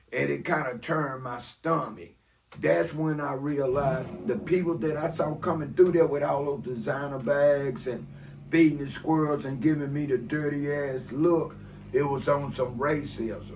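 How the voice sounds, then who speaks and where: A man at a fairly high pitch, with ordinary pitch variation and a moderate pace. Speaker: reformed former criminal. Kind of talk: personal life story told in an interview.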